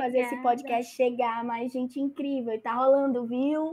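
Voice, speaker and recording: Over noticeable background noise, a woman speaks in a high, monotone voice with flat intonation. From Maranhão, Brazil. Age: 20s. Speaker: podcast host leading the episode.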